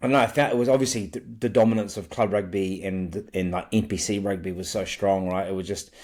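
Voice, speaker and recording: A man with a New Zealand accent and a fairly low pitch, at a very fast pace with hardly any pauses. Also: ordinary pitch variation, very clean recording, silent background. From New Zealand, Wellington (Johnsonville). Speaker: rugby league fan podcaster. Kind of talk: casual chat.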